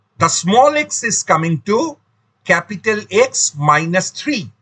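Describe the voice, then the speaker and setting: A man's raised, projected voice, high-pitched and bright with a sharp tone, at a very slow pace with very wide pitch swings. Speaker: maths teacher. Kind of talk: lecture.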